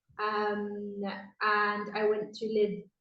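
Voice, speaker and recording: A woman at medium pitch with a Welsh accent, in audible room echo. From South Wales. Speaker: expat interviewee. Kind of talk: casual interview.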